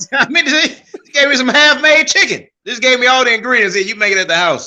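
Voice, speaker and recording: The voice is raised and projected, with a bright, sharp tone. It moves at a very fast pace with lively intonation. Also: man, extremely high pitch for a man. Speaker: comedian. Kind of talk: casual chat.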